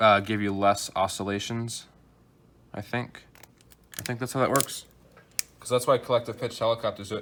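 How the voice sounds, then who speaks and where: Soft-spoken and monotone, a man talks at a moderate pace and medium pitch with flat intonation. He leaves long, frequent pauses, and his loudness swings widely. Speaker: hobbyist YouTuber building a drone. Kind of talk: tutorial. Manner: hesitant.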